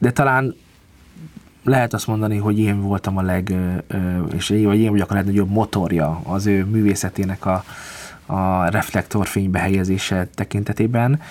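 At a moderate pace, a man with a fairly low voice speaks in fairly even intonation, pausing long and often. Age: 30s. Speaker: concert pianist. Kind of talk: interview.

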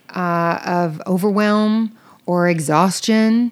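In a Southern US accent, a woman speaks at a medium pitch with ordinary pitch variation. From US South. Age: 50s. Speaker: podcast co-host and interior designer. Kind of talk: casual chat.

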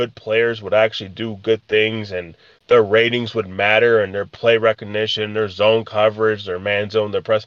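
This is an ordinary speaking voice from a man at medium pitch. His pace is moderate. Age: 30s. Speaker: podcast co-host. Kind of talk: casual chat.

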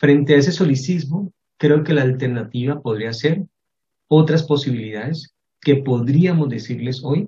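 A man's fairly high, somewhat breathy voice carries ordinary pitch variation. He talks at a moderate pace. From Colombia, Cali. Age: 40s. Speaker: professor. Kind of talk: interview.

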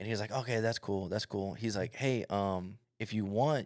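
The recording of this man's fairly low voice is very clean, with a silent background and a dry, close sound with no echo. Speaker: podcast co-host. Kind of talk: casual banter. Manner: profane, blunt.

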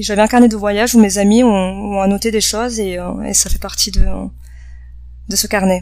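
Against noticeable background noise, a woman of medium pitch speaks at a moderate pace in a monotone, flat intonation, with long, frequent pauses. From south-west France, Bordeaux. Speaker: cultural cooperation worker. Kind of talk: interview. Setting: on site during lunch break. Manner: halting, many fillers.

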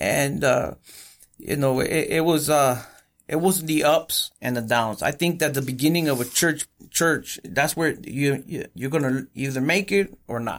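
With an American accent, a man talks at a fairly slow pace in a fairly high pitch and ordinary pitch variation. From Coachella Valley, Southern California. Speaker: pastor. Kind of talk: interview testimony. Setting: studio. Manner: halting.

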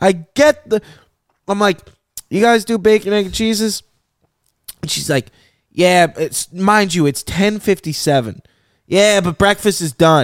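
With a Michigan accent, a man talks at a fairly slow pace in a high pitched voice, sounding animated, using ordinary pitch variation and taking long, frequent pauses. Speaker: podcast host. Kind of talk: casual banter. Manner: animated, joking.

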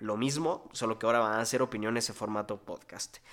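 On a very clean recording with a silent background, a man with a medium pitch speaks at a very fast pace with fairly even intonation. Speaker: podcast host. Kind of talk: solo podcast monologue. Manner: hesitant with fillers.

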